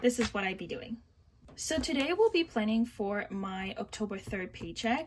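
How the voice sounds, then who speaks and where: The voice is somewhat breathy with lively intonation. It moves at a moderate pace. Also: woman, fairly high pitch for a woman. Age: 20s. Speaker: budgeting vlogger. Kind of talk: casual tutorial. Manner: halting, many fillers.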